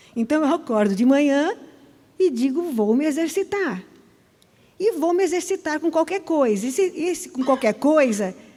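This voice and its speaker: With a dark, mellow tone and a high pitch, a woman speaks with very wide pitch swings and long, frequent pauses. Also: moderate pace. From Brazil, Fortaleza (Northeast). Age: 60s. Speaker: church podcast guest. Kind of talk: casual chat. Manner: animated.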